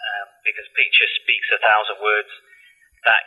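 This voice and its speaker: A man with a Manchester accent speaks at a moderate pace. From northern England, Salford, Manchester. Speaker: medical imaging scientist. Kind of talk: interview.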